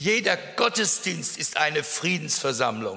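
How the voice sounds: A man speaks slowly in a bright, sharp tone.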